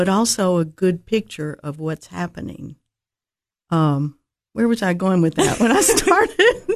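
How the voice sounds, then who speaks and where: In a Tennessee accent, a woman speaks at a medium pitch, leaving long, frequent pauses. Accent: Southern US, Tennessee. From Nashville, Tennessee. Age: 70s. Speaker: birdwatcher. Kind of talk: casual interview chat. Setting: radio studio.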